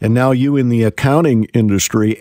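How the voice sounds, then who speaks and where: A man has an unremarkable speaking voice at a medium pitch and a moderate pace. The sound is dry and close, with no echo. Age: 60s. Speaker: radio host. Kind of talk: news reading; radio talk show interview.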